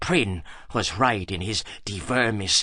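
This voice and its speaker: Using a put-on character voice, this man talks at a fairly slow pace. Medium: audio drama. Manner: cool, soft-spoken.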